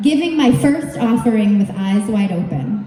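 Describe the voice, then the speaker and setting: A woman with fairly high pitch speaks loudly at a fairly slow pace, her pitch swinging very widely. Audible room echo and noticeable background noise fill the recording. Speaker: yoga teacher and storytelling speaker. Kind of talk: storytelling speech read aloud to a live audience. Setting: stage with audience.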